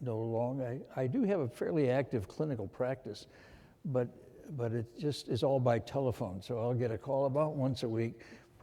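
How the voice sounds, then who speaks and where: A man's medium-pitched voice with an American accent, dark and mellow in tone, ordinary pitch variation, moderate pace. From USA. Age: 80s+. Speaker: surgeon and medical researcher. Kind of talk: interview on stage.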